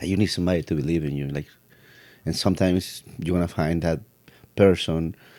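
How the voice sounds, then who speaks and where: A man with a Spanish accent speaks very fast in a very deep, low voice with a dark, mellow tone and fairly even intonation. He leaves long, frequent pauses, and the recording is very clean with a silent background. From Mexico City. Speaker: piano technician. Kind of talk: casual chat.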